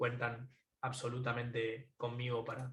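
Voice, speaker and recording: Here a man talks at a medium pitch. The delivery is monotone and flat. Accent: Rioplatense. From Argentina, Buenos Aires. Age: 20s. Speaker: tech entrepreneur. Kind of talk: closing conference talk. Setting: remote talk from home.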